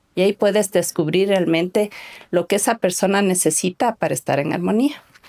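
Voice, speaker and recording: A woman's medium-pitched voice with a dark, mellow tone and ordinary pitch variation, in a dry, close sound with no echo. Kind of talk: podcast conversation.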